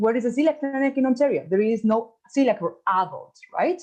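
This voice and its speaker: Speaking at a very fast pace with an Argentine accent, a woman has a high pitch and a dark, mellow tone. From Argentina. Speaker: gastroenterologist. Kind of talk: conference talk. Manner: halting.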